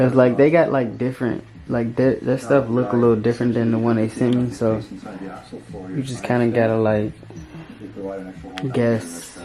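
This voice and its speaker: Quiet and fairly even in intonation, a man speaks at a moderate pace with long, frequent pauses over noticeable background noise. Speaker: dirt bike vlogger. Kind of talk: casual vlog unboxing. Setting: indoors at home late at night. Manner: trying to be quiet. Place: home room. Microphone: phone near.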